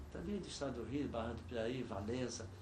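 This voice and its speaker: In a room with audible echo, a man talks at a moderate pace with lively intonation. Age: 70s. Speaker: veteran cyclist. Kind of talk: oral history interview. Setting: studio.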